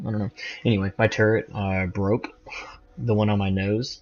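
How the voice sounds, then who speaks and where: Fairly low in pitch, a man talks at a fairly quick pace with a slight Southern US accent. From US South. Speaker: gamer. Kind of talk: gameplay commentary.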